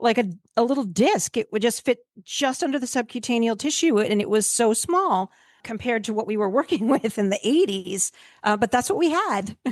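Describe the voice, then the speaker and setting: Recorded with a dry, close sound and no echo, a woman with an ordinary speaking voice and fairly high pitch talks at a fairly quick pace with lively intonation. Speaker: veterinarian, podcast host. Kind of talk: casual podcast conversation.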